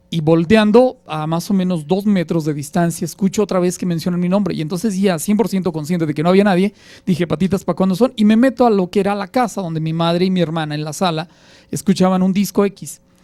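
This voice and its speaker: Speaking very fast, a man has a high pitch and a dark, mellow tone. His pitch varies in an ordinary way. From Mexico, Aguascalientes. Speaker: radio announcer. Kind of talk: interview, personal anecdote.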